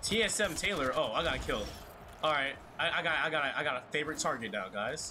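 The delivery is animated in tone and fairly quick in pace. Noticeable background noise can be heard. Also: man, fairly high pitch for a man. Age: 18, just out of school. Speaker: gamer streamer. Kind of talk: gameplay commentary. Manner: animated, excitable reactions. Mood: frustrated, joking. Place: home room.

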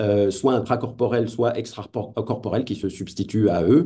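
A man speaks at a moderate pace in a dark, mellow tone. The background is quiet. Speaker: philosopher of technology, lecturer; lecturer. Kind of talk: lecture. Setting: video call. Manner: hesitant, many fillers. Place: home room. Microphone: webcam.

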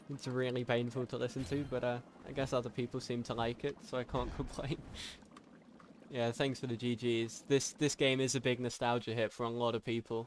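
In a British accent, the speaker delivers a monotone, flat line at a fairly quick pace. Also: man, medium pitch for a man. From Britain. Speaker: video game speedrunner streamer. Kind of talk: live gameplay commentary. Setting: live stream. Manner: casual with frequent fillers.

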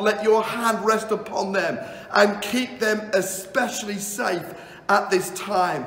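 A man's high-pitched voice with fairly even intonation and audible room echo. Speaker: pastor. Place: home room.

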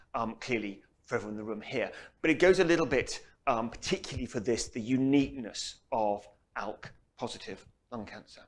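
With lively intonation, a man talks at a very fast pace. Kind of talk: lecture. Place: hall. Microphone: lapel.

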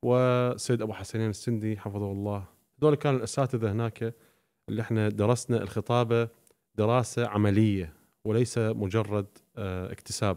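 The background is quiet as a man speaks at a fairly low pitch. His pace is moderate and his intonation fairly even. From Iraqi family, raised in Syria. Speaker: Shia preacher. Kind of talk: podcast interview. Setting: studio. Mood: calm, reflective storytelling. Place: studio. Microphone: studio mic.

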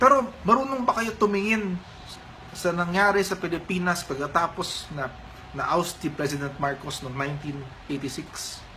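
A man with a high-pitched voice speaks at a fairly slow pace with lively intonation over noticeable background noise. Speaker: political commentator. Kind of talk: angry rant, heated political commentary. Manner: indignant, emphatic, scolding.

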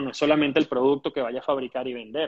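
A man with a Caracas accent, monotone and flat in intonation, over a quiet background. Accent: Venezuelan Spanish (Caracas). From Venezuela. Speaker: entrepreneur and teacher; teacher. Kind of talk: interview. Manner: halting, many fillers and repetitions. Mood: calm, hopeful. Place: home room. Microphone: earbuds.

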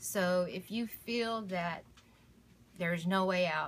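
The woman's intonation is fairly even. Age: 40s. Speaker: domestic violence survivor. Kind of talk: testimony. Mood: grateful, earnest. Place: home room. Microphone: phone near.

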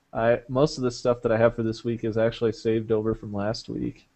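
The pace of this man's speech is moderate. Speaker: podcast host. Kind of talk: casual chat. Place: home room. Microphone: headset.

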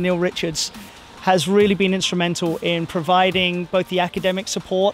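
A man speaks at a moderate pace in a high, flat monotone, with faint music behind him and a dry sound with no echo. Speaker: swim team coach. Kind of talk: interview answer. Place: waterside. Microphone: handheld.

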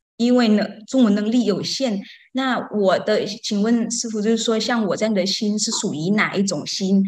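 With a non-native accent, a woman speaks at a moderate pace in a fairly high, somewhat breathy voice with fairly even intonation over a quiet background. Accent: foreign-accented Mandarin. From outside Taiwan. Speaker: Buddhist student. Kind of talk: testimony. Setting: online call. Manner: halting. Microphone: video call.

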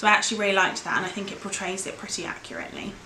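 A woman speaks with audible room echo and light background noise. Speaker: book vlogger. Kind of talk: casual vlog chat. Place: home room. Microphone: camera far.

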